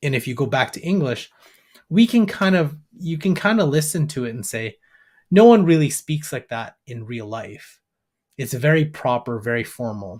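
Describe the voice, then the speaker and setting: With a Canadian accent, a man talks at a moderate pace in a fairly high, somewhat breathy voice, his pitch swinging very widely and his loudness rising and falling sharply. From Canada, Alberta. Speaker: AI business educator. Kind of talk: interview.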